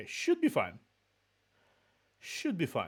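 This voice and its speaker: A man with a slight Russian accent at a fairly slow pace, very wide pitch swings, on a very clean recording with a silent background. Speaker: VTuber streamer. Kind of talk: casual chat. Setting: live stream.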